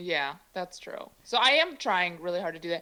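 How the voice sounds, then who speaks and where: A woman's medium pitch with an American accent and ordinary pitch variation. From US Midwest, Chicago. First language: Mandarin. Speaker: comedian. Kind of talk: casual chat.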